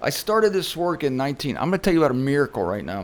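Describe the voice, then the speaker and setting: A man with an unremarkable speaking voice talks at a fairly high pitch with lively intonation. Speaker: religious speaker. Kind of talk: casual talk to camera.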